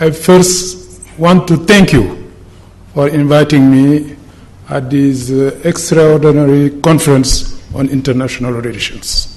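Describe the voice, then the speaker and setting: Through audible room echo and noticeable background noise, a man speaks slowly-ish at a fairly high pitch with ordinary pitch variation. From Senegal. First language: French. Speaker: politician. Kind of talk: conference speech.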